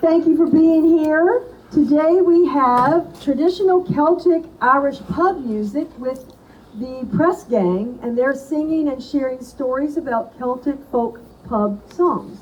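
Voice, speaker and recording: A loud woman with a high pitch and lively intonation, talking at a very slow pace over noticeable background noise. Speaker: event host. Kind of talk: introduction.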